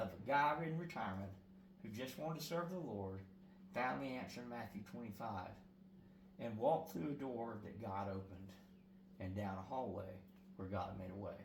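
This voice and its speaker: A man speaks at a moderate pace in a fairly low voice, with long, frequent pauses, over noticeable background noise and audible room echo. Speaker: prison ministry evangelist. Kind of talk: interview. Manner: loud; halting.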